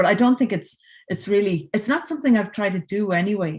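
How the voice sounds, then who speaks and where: A woman's somewhat breathy, medium-pitched voice in an Irish accent, quick-paced and lively in intonation, over a quiet background. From Ireland. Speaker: composer. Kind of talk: casual chat. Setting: video call.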